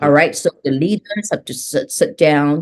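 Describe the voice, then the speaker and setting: A woman speaks with a very deep, low pitch. Her intonation is lively and her pace moderate. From Singapore. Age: 60s. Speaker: transformation leader, business coach. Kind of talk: interview conversation.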